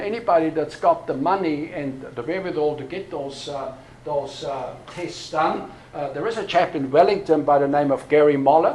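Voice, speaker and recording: Noticeable background noise sits behind a man's fairly high voice. He talks at a moderate pace with ordinary pitch variation. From Austria. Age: 60s. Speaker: pastor. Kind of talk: workshop talk. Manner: hesitant, many fillers.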